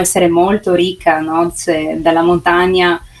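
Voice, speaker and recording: Noticeable background noise is present throughout. The woman's speech moves at a moderate pace. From Carso near Trieste, Friuli Venezia Giulia, Italy. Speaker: food photographer and pastry maker, tourism ambassador. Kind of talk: remote radio interview. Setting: remote link. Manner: halting, with many fillers and repetitions.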